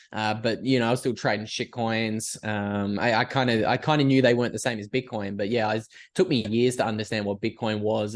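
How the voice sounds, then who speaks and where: A man with an Australian accent speaks at a very fast pace and a medium pitch, his intonation fairly even. The background is quiet. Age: 20s. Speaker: podcaster and writer. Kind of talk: casual interview.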